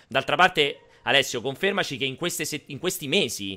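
A man's bright, sharp voice with vocal fry, very wide pitch swings and a fairly quick pace. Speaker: video game show host. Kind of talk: live-streamed casual chat. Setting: online live stream. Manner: animated.

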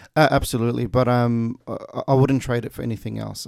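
A man with an Australian accent talks at a moderate pace, his pitch medium and his intonation fairly even. The recording is very clean, with a silent background. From Kuwait, then Melbourne from late 1990s. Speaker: youth justice project coordinator. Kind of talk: radio interview. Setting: radio studio. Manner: hesitant, many fillers.

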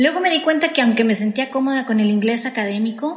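A woman's high voice at a fairly quick pace, with a Latin American accent. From Mexico. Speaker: podcast co-host. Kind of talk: personal storytelling.

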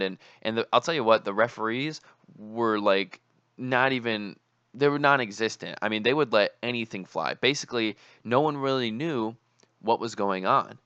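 A man speaks at a medium pitch and moderate pace, his tone bright and sharp with ordinary pitch variation. The sound is dry and close with no echo, and the background is quiet. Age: 20s. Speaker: podcast host and student. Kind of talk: solo podcast monologue. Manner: casual with many filler words.

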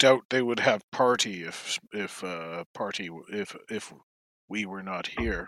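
A fairly slow, fairly low-pitched put-on character voice from a man. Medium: actual play. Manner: broken grammar, blunt.

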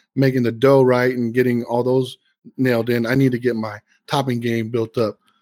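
This man has a plain, everyday voice, pitched medium and delivered at a moderate pace. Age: 40s. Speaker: podcast co-host and real estate agent. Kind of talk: casual chat.

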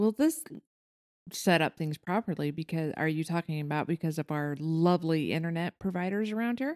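An unremarkable speaking voice at a fairly quick pace, with ordinary pitch variation, a very clean recording with a silent background, and a dry, close sound with no echo. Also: woman, fairly low pitch for a woman. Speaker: podcast co-host. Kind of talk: casual chat.

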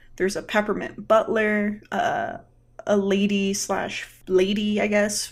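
A woman speaks at a medium pitch. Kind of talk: solo commentary on a TV episode.

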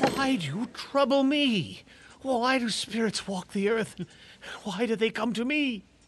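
Noticeable background noise sits in the recording. The speaking pace is fairly slow. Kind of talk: audio drama performance. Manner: gruff, curmudgeonly, snapping.

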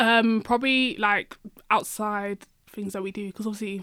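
The woman's voice is pitched at a medium level. She keeps to a moderate pace. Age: 20s. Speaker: care leaver and fashion influencer. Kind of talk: interview. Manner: hesitant with fillers and laughter.

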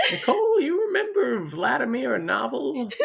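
This is a put-on character voice. It moves at a moderate pace. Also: woman.

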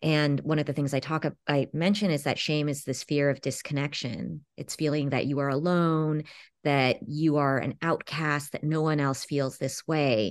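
A woman with a Californian accent and a very deep, low pitch, at a moderate pace with fairly even intonation and hardly any pauses, over a quiet background. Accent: Californian American English. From Los Angeles, California. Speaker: author and English professor. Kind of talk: interview. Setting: radio interview.

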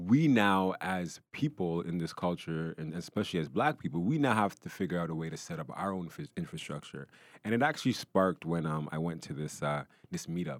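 On a very clean recording with a silent background, the speaker uses lively intonation at a fairly quick pace. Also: man, very deep, low pitch for a man. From Canada, Brampton, Ontario. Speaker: music industry entrepreneur. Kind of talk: casual interview.

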